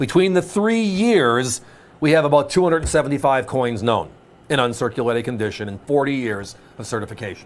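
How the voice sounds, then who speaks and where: Here is a man with an ordinary speaking voice at a medium pitch. His intonation is lively and his pace fairly quick. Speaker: home shopping host. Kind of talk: sales pitch.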